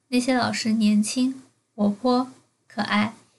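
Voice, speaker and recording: A woman's fairly high, somewhat breathy voice, fairly slow in pace and monotone, flat in intonation. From Beijing and Jiangsu. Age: 20s. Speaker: podcaster. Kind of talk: personal monologue.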